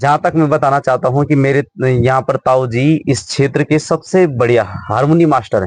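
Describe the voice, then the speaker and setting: An unremarkable speaking voice from a man, fairly high in pitch with ordinary variation, in a dry, close sound with no echo. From Uttarakhand, Garhwal. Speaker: local video interviewer. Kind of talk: village interview.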